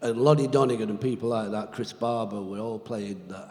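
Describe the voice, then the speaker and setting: A man with an English accent speaks with audible room echo. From Britain. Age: 70s. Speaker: blues guitarist. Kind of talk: interview on stage. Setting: stage with audience.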